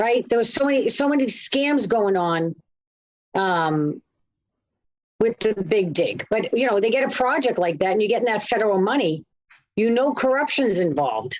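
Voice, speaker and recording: A woman with a Boston accent speaks at a moderate pace in a fairly high pitch, using lively intonation, very even loudness and long, frequent pauses. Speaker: co-host. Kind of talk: casual chat.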